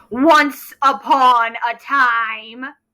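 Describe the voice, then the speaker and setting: Using a put-on character voice, a woman speaks high in pitch with fairly even intonation. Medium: read story. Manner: grandiose, refers to himself in the third person.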